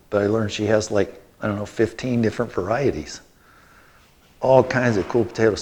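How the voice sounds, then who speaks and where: Speaking at a fairly quick pace, a man uses a plain, everyday voice, fairly low in pitch with fairly even intonation. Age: 60s. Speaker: biochar company owner giving a gardening talk. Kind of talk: lecture. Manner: casual, conversational.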